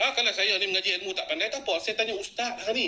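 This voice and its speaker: The voice is raised and projected, with an animated tone at a very fast pace. Noticeable background noise sits behind it. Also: man. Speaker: social media activist. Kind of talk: live stream talk. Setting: live stream.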